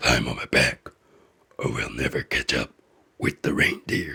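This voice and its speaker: In a put-on character voice, a man growls at a moderate pace with a raspy, very deep, low pitch. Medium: read story. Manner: gruff but kind.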